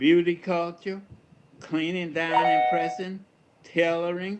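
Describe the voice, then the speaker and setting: A man with an Alabama accent, high-pitched, with ordinary pitch variation. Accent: Southern American (Alabama). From Fairfield, Alabama. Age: 80s+. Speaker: retired reverend and educator. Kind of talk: community talk on personal history.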